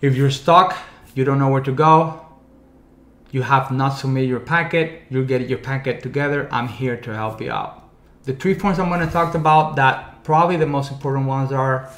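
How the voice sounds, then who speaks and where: A man speaks at a moderate pace with fairly even intonation, and audible room echo surrounds him. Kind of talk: informational vlog talk. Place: studio.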